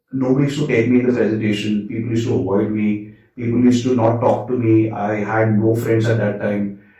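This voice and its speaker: In a Marathi accent, a man speaks very fast with hardly any pauses, his intonation monotone and flat, and the room echo is audible. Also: medium pitch for a man. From India, Mumbai suburbs. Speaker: communication trainer. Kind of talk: interview.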